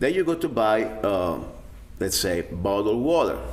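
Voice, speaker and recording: A man in an Italian accent at a moderate pace. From Italy (Rome). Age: 50s. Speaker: self-defense instructor. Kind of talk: video blog monologue. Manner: casual, hesitant with fillers.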